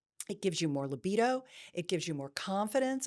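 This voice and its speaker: A woman speaks at a medium pitch with very wide pitch swings. The recording is very clean, with a silent background. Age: old. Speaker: intimacy expert. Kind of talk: interview. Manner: commanding.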